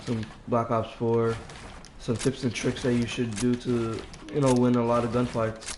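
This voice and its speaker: Noticeable background noise beneath speech at a moderate pace. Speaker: gaming streamer. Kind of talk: gameplay tutorial. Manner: hesitant, filler words.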